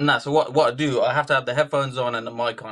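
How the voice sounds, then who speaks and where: A man with a British accent at a very fast pace, over a quiet background. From UK. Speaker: rapper. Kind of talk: interview.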